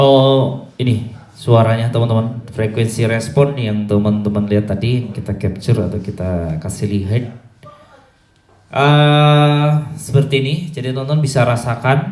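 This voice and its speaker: Amid audible room echo, a man speaks at a fairly slow pace with a medium pitch and ordinary pitch variation. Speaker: sound system dealer and engineer. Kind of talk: sound check demo. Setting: PA line array sound check. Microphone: cheap handheld microphone through PA speaker.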